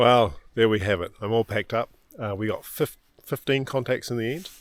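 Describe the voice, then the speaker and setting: A man with a New Zealand accent at a moderate pace, ordinary pitch variation, on a very clean recording with a silent background. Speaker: amateur radio operator. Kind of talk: casual vlog narration. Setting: outdoors in a park. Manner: halting with fillers.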